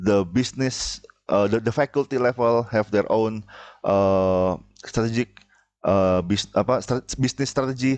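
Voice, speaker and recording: A man at a fairly slow pace, against a quiet background. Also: ordinary pitch variation, very even loudness. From Indonesia. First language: Indonesian. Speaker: university lecturer. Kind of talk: lecture. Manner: halting, many filler sounds. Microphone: headset.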